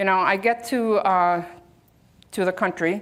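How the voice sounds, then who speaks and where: A woman's medium-pitched voice at a moderate pace, in a very clean recording with a silent background. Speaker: security expert, keynote speaker. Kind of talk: conference keynote. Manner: conversational, animated.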